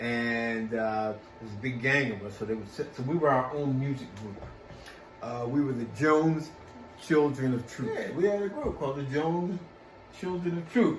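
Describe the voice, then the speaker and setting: With an American accent, a man talks at medium pitch and a moderate pace, his intonation lively. Room echo and noticeable background noise can be heard. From Philadelphia, US. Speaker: actor and singer. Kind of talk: interview. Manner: halting, many fillers.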